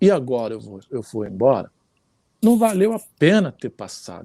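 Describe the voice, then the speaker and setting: A man's dark, mellow voice at a moderate pace, with very wide pitch swings and a dry, close sound free of echo. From Rio de Janeiro, Brazil. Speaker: samba musician. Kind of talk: interview answer.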